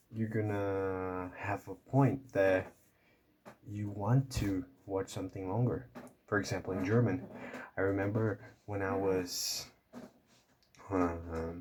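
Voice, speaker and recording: A man speaks very slowly with long, frequent pauses, his fairly low voice somewhat breathy and his intonation fairly even. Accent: Portuguese. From Brazil. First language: Portuguese. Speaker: language learning youtuber. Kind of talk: casual vlog talk to camera. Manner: halting, many fillers and repeats.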